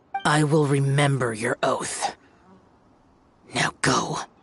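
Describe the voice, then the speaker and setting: The speaker uses a put-on character voice at a low-to-middle pitch. The pace is very slow. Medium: video game. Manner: cold, terse.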